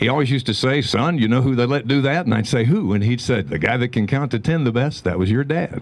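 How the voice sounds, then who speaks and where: A man with an American accent talks at a very fast pace, with hardly any pauses. His pitch is medium and his loudness stays very even. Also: ordinary pitch variation. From Arizona. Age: 60s. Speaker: speaker at Veterans Day ceremony. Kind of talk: public speech.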